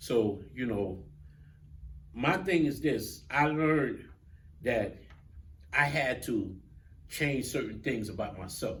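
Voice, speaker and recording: Very slow and marked by long, frequent pauses, a man's voice with vocal fry carries lively intonation through audible room echo. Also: medium pitch for a man. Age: 60s. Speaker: talk show host. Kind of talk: casual chat.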